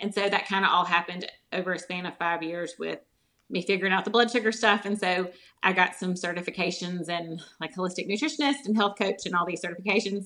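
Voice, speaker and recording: Speaking very fast with a Southern US accent, a woman uses a bright, sharp tone and fairly even intonation. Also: medium pitch for a woman. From US South. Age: 40s. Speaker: holistic nutritionist. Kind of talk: interview.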